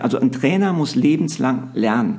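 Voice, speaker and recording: With noticeable background noise and audible room echo, a man talks at a fairly high pitch for a man, his intonation lively. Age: 50s. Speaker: basketball coach and TV commentator. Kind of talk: interview.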